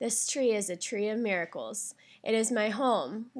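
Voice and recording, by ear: Someone reads out loud using a natural voice.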